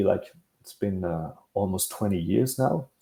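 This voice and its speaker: Speaking with a French accent, a man has a dark, mellow tone. His pace is fairly slow. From France. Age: 20s. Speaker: pro wrestler. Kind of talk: interview. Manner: halting, many fillers.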